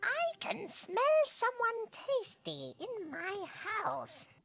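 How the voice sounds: A female-sounding voice puts on a squeaky character voice at an extremely high pitch and a very slow pace.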